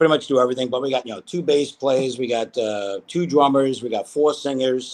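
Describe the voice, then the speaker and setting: In a Brooklyn accent, the speaker talks at a fairly quick pace with fairly even intonation. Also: man. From New York, Brooklyn. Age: 50s. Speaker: musician, guitarist. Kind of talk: casual interview chat.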